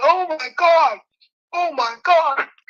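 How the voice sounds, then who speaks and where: In a put-on character voice, a woman sounds squeaky at an extremely high pitch. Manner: frightened.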